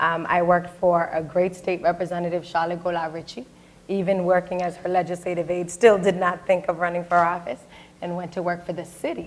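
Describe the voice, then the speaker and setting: A woman speaks with an American accent at a fairly quick pace. Her pitch sits fairly low. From Boston, Dorchester. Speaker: state senator. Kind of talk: panel discussion. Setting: stage with audience. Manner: loud; animated.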